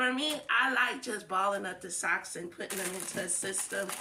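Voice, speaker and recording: Loud and animated in tone, a woman at medium pitch talks at a moderate pace with very wide pitch swings over noticeable background noise. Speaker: home organizing vlogger. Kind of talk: casual tutorial.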